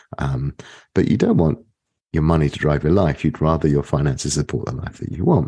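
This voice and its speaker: In a British accent, a man speaks at a fairly quick pace with vocal fry and a very deep, low pitch in a dark, mellow tone. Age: 50s. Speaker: economics professor. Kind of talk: interview.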